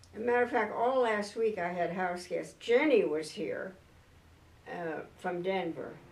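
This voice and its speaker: With an American accent, a woman talks at a fairly slow pace with lively intonation, and the room echo is audible. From San Diego, California. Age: 90s. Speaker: clergy widow and church elder. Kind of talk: oral history interview. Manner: hesitant, with fillers.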